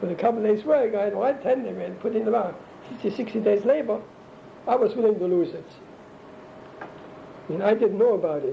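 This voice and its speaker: Against noticeable background noise, a man with a high voice and ordinary pitch variation talks at a fairly quick pace broken by long, frequent pauses. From Germany. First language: German. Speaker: interviewee recounting life story. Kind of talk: oral history interview. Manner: halting.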